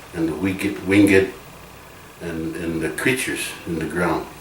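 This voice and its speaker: A man's very deep, low voice at a fairly slow pace with fairly even intonation, audible room echo and noticeable background noise. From Rosebud Reservation, South Dakota. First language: Lakota. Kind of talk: interview. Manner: halting, many fillers.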